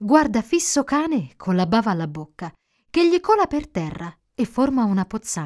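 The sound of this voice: Quiet surroundings and an unforced reading voice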